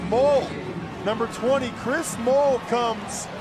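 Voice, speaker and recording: A man's pitch varies in an ordinary way, with noticeable background noise in the recording. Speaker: color commentator. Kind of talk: live sports commentary, analytical color talk between plays. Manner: conversational, explanatory, occasionally surprised and musing aloud.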